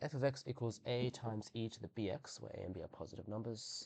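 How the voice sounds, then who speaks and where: This man speaks at a medium pitch with a somewhat breathy voice. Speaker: maths tutor. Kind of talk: tutorial. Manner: casual, hesitant with fillers.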